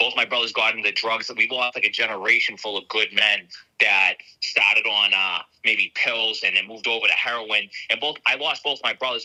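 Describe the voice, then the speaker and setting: A man at a very fast pace, with a dry, close sound and no echo. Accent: Boston. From Boston area, Massachusetts. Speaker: border patrol agent, whistleblower. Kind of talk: testimony.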